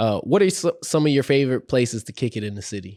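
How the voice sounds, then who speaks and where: With an American accent and a normal speaking voice, a man talks at medium pitch with lively intonation in a dry, close sound with no echo. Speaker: podcast host. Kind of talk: casual chat.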